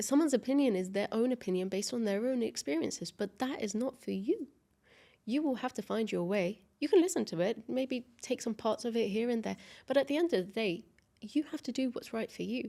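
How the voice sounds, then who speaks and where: Dark, mellow tone with lively intonation at a fairly quick pace. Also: woman, fairly high pitch for a woman. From Dubai, UAE. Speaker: tech company CEO. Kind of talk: podcast interview. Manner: occasional stutter.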